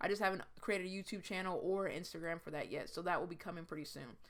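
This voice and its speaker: A woman at a very fast pace. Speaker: YouTuber, movie collector. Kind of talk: casual vlog monologue.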